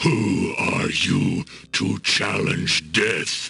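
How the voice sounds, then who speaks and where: Growling in a put-on character voice, a man speaks at a fairly low pitch. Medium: video game. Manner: solemn, archaic.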